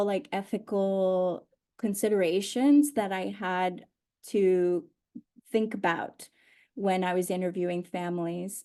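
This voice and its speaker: A woman with a Spanish accent, medium pitch and a dark, mellow tone, speaking at a very slow pace with ordinary pitch variation. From Honduras and Mexico. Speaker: oral historian. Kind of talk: panel conversation. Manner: halting, many fillers.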